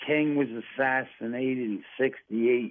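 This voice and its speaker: Speaking at a very slow pace, a man uses a medium pitch and an American accent. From US Midwest. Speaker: war veteran. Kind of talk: casual chat. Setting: phone call. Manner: halting.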